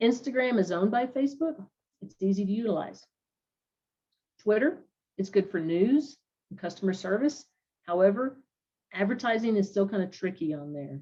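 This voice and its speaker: The speaker has a dark, mellow, somewhat breathy tone, lively intonation and a moderate pace, with big swings in loudness and long, frequent pauses. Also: woman, medium pitch for a woman. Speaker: class presenter. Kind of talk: online class presentation. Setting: virtual online class.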